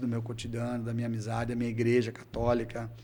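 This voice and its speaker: Amid audible room echo, a man speaks in a medium pitch with a dark, mellow tone. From Brazil, Cáceres, Mato Grosso. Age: 50s. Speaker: city councillor and engineer. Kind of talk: interview.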